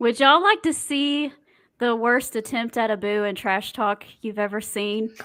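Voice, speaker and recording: Speaking in a Southern US accent, a woman uses a fairly high pitch, lively intonation and a moderate pace. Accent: US South. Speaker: podcast co-host. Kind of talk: casual chat.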